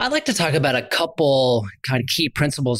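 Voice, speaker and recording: A man is speaking at a fairly quick pace. He has an ordinary speaking voice. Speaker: investment podcast co-host. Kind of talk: podcast interview.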